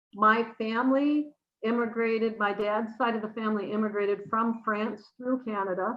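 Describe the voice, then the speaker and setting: A woman with an American accent, fairly high pitch, monotone, flat intonation and a moderate pace. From US Midwest, northern Wisconsin (Rhinelander). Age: 60s. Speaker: interview guest. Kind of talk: casual interview chat. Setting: live stream.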